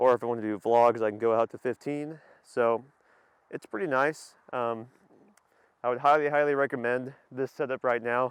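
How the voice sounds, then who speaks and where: A man's medium-pitched voice at a moderate pace, with fairly even intonation and long, frequent pauses, dry and close with no echo over a quiet background. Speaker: car and camera gear vlogger. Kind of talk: vlog. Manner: hesitant, many fillers.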